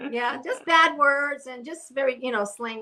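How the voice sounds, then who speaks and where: With a New York accent, a woman speaks at a fairly quick pace in a bright, sharp tone and fairly even intonation. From Brooklyn, New York. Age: 60s. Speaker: interview guest. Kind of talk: casual interview chat. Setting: live stream video call. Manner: halting.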